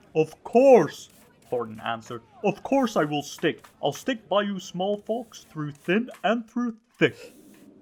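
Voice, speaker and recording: Fairly slow delivery in a put-on character voice, pitched in the middle range. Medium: read story.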